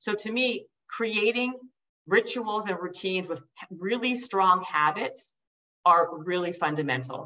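This woman has an unremarkable speaking voice at medium pitch, moving at a fairly slow pace with lively intonation. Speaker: author and speaker; entrepreneur and podcaster. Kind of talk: podcast interview.

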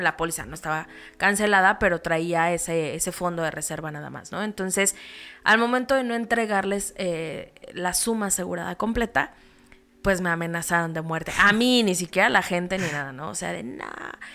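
Over music in the background, a woman speaks at a moderate pace with lively intonation and big swings in loudness. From Mexico, State of Mexico (Toluca). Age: 30s. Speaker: insurance and investment agent. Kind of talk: interview conversation.

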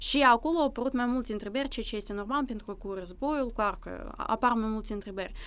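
Speech in a Russian accent comes at a very fast pace with hardly any pauses. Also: woman, fairly high pitch for a woman, ordinary pitch variation, very clean recording, silent background. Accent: Russian accent in Romanian. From Russia, Vladivostok, then Moldova from age 11. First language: Russian (speaking Romanian). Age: 20s. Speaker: university student and language teacher. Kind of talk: interview conversation.

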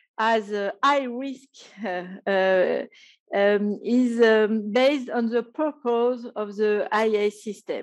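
A very slowly paced voice with a French accent, ordinary pitch variation and a quiet background. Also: woman. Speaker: professor. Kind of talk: conference panel talk.

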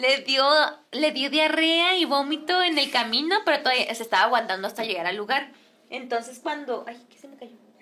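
Raising and projecting her high voice, a woman speaks at a moderate pace with a bright, sharp tone, lively intonation and big swings in loudness. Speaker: singer and influencer. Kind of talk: casual chat.

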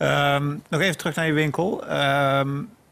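Noticeable background noise accompanies a man whose pitch is fairly high. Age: 40s. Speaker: podcast interviewer. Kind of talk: interview.

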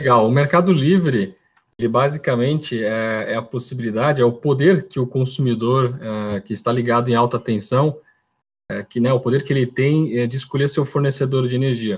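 The voice is somewhat breathy and moves at a moderate pace on a very clean recording with a silent background. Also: man, medium pitch for a man, ordinary pitch variation. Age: 30s. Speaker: electrical engineer. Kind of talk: casual interview. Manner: halting, repeats words.

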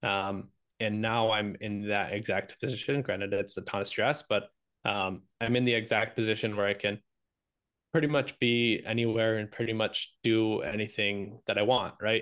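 With an ordinary speaking voice, a man talks at a moderate pace and a fairly low pitch, keeping his intonation fairly even. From Michigan. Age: 20s. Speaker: real estate investor. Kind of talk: interview.

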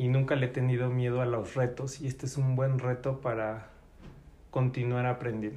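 A dark, mellow, somewhat breathy voice with a Mexican accent and monotone, flat intonation. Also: man, medium pitch for a man, moderate pace. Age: 40s. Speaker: job applicant, special education worker. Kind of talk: job interview. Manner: hesitant.

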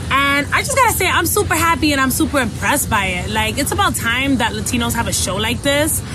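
The speaker has a New York accent and talks at a very fast pace with hardly any pauses. The recording carries audible room echo and noticeable background noise. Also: woman. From New York City, the Bronx. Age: 20s. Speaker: comedian. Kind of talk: casual chat. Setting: studio. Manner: loud.

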